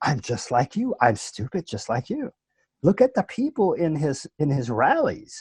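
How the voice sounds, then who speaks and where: A high-pitched man's voice in a New Orleans accent, with very wide pitch swings and a dry, close sound with no echo, over a quiet background. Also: moderate pace. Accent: American Southern, New Orleans. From New Orleans, Louisiana, USA. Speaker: actor, voice-over artist, presentations coach. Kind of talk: podcast interview answer.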